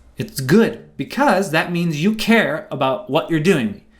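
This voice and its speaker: A man speaks fairly slowly in a high voice. His intonation is lively. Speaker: trading educator. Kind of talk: seminar lecture.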